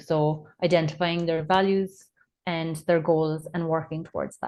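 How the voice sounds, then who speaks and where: A woman speaks in an Irish accent. Her very deep, low voice stays monotone and flat. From Ireland. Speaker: nurse and parent coach. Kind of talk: podcast interview.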